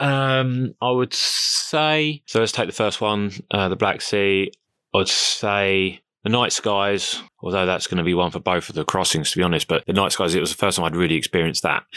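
Through a very clean recording with a silent background and a dry, close sound with no echo, a man with a southern English accent speaks in a fairly low pitch with a bright, sharp tone, lively intonation and very even loudness. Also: moderate pace. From southern England, Crawley in West Sussex. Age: 30s. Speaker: ocean rower. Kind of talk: casual interview.

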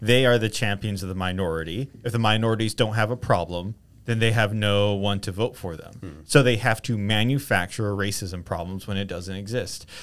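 A man with a normal speaking voice talks at a fairly quick pace with hardly any pauses. His pitch is fairly low and his intonation fairly even. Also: big swings in loudness, very clean recording, silent background. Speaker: podcast co-host. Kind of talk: casual chat. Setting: video podcast.

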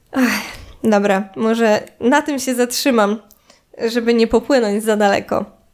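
A woman with an unremarkable speaking voice and a fairly high pitch talks at a fairly slow pace with fairly even intonation. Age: 20s. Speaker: podcaster. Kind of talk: solo monologue.

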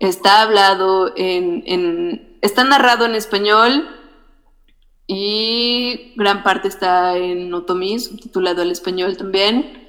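Very slow speech with ordinary pitch variation, against noticeable background noise. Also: woman. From Mexico, Temoaya, State of Mexico. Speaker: filmmaker. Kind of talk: interview.

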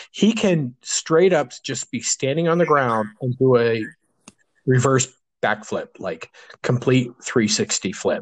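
The intonation is lively while the pace stays very slow. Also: man, medium pitch for a man. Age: 40s. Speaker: podcast co-host, web developer. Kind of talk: casual chat. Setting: at his desk, remote recording.

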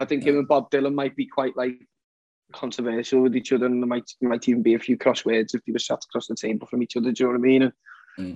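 A man with a Liverpool accent at medium pitch, very fast and monotone with flat intonation, in a dry, close sound with no echo over music in the background. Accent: Scouse. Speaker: singer-songwriter. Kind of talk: casual interview.

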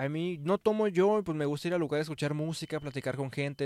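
A man speaks with a Mexican accent and lively intonation. The recording is very clean, with a silent background. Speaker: podcast co-host. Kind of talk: casual chat.

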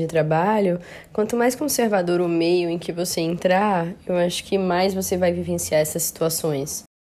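At a moderate pace, a woman talks with a Brazilian accent and fairly even intonation. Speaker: medical doctor. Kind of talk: interview.

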